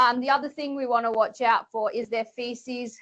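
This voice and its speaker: A woman with an Australian accent speaks at a moderate pace in a fairly high pitch. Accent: Australian twang. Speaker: veterinarian. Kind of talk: webinar presentation. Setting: webinar.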